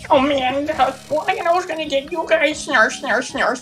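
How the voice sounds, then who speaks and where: A put-on character voice speaks at a high pitch and a very slow pace. Clear music plays in the background. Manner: annoying.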